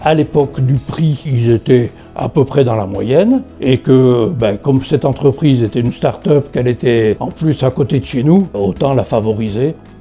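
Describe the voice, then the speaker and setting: Over music in the background, a man speaks at a medium pitch and moderate pace with ordinary pitch variation and hardly any pauses. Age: 70s. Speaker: retired customer giving testimonial. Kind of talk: interview testimonial. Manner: hesitant with frequent fillers.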